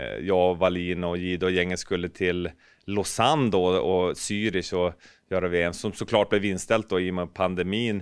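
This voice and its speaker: Against a quiet background, a man talks at a moderate pace in a very deep, low voice. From Norrbotten, northern Sweden. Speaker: ice hockey pundit and former goalkeeper coach; ice hockey pundit, former goalkeeper coach. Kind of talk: casual interview. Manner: animated. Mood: relaxed, upbeat. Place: office. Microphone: handheld.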